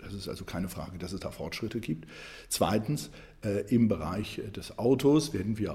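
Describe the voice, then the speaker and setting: Somewhat breathy, a man's voice sits at a medium pitch with a dark, mellow tone and ordinary pitch variation. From Germany, Saarland. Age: 60s. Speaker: economics professor and political candidate. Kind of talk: interview. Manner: hesitant with frequent fillers.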